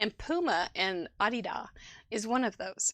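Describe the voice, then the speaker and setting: A woman speaks in a Midwestern US accent with a bright, sharp tone. The recording is very clean, with a silent background and a dry, close sound with no echo. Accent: Midwestern US twang. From Midwestern United States.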